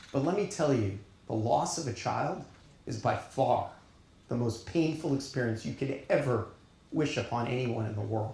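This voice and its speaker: Somewhat breathy and dark and mellow in tone, a man with an American accent speaks at a medium pitch and a moderate pace with lively intonation, with audible room echo around him. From Long Island, New York. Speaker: keynote speaker, data science leader. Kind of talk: keynote speech. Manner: animated.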